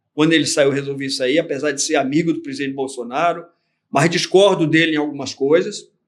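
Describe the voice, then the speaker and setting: An ordinary speaking voice at a fairly quick pace, with fairly even intonation. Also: man, fairly high pitch for a man. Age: 60s. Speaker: retired army general and businessman. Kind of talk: interview conversation.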